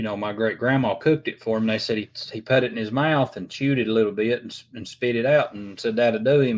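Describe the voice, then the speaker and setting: A man with a strong Appalachian accent at a fairly quick pace, on a very clean recording with a silent background. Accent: thick Appalachian. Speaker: YouTube livestream host. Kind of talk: casual chat. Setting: live stream. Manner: halting, many fillers.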